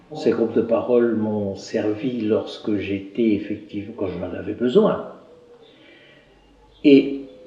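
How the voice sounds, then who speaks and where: This man has a medium pitch and ordinary pitch variation, speaking at a fairly slow pace. Noticeable background noise and audible room echo surround him. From northern France, Somme (Picardy). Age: 60s. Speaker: retired garage owner, addiction support volunteer. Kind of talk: documentary interview. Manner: halting.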